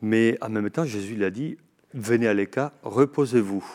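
Over a very clean recording with a silent background, a man speaks at a fairly slow pace and medium pitch with ordinary pitch variation. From Spain, Navarre. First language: Spanish (speaking French). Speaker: Franciscan friar and author. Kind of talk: TV book discussion.

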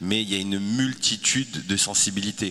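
There is noticeable background noise behind a man speaking. His pitch is fairly low and his intonation fairly even. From France. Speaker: communication agency founder. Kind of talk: panel discussion.

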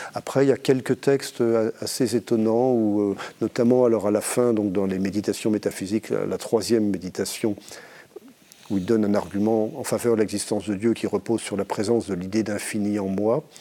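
Here a man speaks at a moderate pace with fairly even intonation. His pitch is fairly low, in a normal speaking voice. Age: middle-aged. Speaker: philosophy professor. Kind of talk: panel discussion. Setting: studio.

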